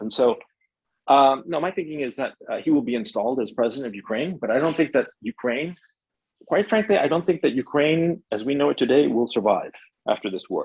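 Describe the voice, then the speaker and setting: With an American accent and an ordinary speaking voice, a man talks at a fairly quick pace, at a fairly high pitch, with lively intonation. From United States, Chilean parents. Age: 50s. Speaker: writer and filmmaker. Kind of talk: interview.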